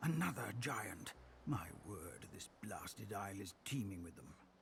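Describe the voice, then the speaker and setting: A man's put-on character voice, fairly low in pitch, at a moderate pace over clear background noise. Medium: video game. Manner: pompous, fussy, old-fashioned exclamations.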